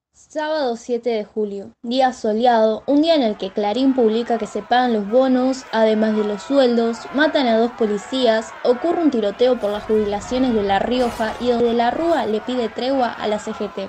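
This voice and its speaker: Speaking at a moderate pace with hardly any pauses, a woman with a fairly high pitch and ordinary pitch variation is heard over noticeable background noise. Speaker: university student. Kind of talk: scripted narration.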